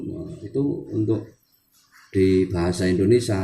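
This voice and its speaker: The voice is somewhat breathy. This man has a dark, mellow tone. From Central Java, Wonosobo. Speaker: language teacher, channel owner. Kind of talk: tutorial. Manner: halting.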